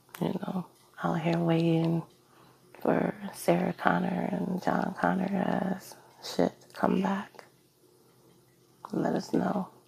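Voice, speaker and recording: The speech moves at a very slow pace, broken by long, frequent pauses. Noticeable background noise runs underneath. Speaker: music producer. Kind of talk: casual talk to camera. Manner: hesitant, with stumbles.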